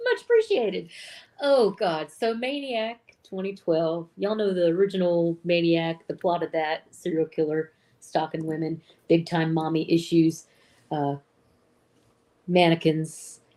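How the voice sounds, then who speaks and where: With a Southern US accent, a woman speaks at a fairly slow pace and a fairly low pitch in a dark, mellow tone, with ordinary pitch variation and long, frequent pauses. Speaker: film podcast co-host. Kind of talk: film synopsis in casual chat.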